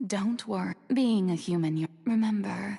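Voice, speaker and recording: A woman performs a put-on character voice. Her pitch is medium and her pace moderate. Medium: video game. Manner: calm, reassuring.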